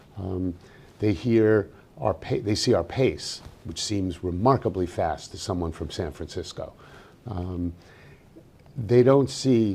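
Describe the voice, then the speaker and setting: In a New York accent, a man with a fairly low, dark, mellow and somewhat breathy voice talks at a fairly slow pace with ordinary pitch variation and long, frequent pauses. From New York City. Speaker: journalist. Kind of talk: interview conversation.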